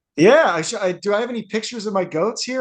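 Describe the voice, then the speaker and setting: A loud, high-pitched man at a very fast pace with lively intonation. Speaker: speaker and author. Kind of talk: casual chat. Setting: video call.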